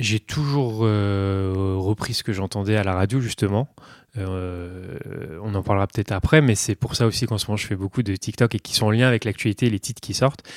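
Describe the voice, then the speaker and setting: An ordinary speaking voice, a man's with fairly low pitch and ordinary pitch variation, goes at a moderate pace on a very clean recording with a silent background and a dry, close sound with no echo. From northern Burgundy, France. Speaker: pianist. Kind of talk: interview.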